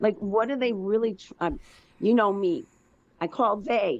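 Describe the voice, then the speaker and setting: Her intonation lively, a woman speaks at a moderate pace with a fairly high pitch. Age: 60s. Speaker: caller. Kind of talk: casual chat. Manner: halting.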